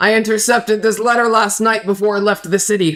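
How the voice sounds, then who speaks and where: Doing a put-on character voice, a man talks high and fairly quickly in a monotone, flat intonation, his loudness very even. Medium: actual play. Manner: stern, blunt.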